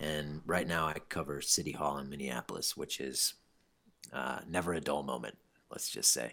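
With an American accent, a man speaks at a moderate pace in a very deep, low pitch, his tone bright and sharp, his intonation fairly even, and vocal fry audible. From US Midwest, eastern Iowa. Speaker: newspaper reporter, soccer writer. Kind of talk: casual chat.

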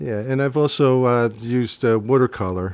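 A man speaks with a New Jersey accent and a dark, mellow tone. His pitch varies in an ordinary way. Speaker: singer-songwriter, retired art teacher. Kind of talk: casual chat.

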